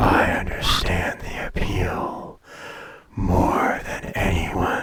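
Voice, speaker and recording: Whispering very slowly, a man speaks in a put-on character voice. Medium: audio drama. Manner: languid, superior, teasing.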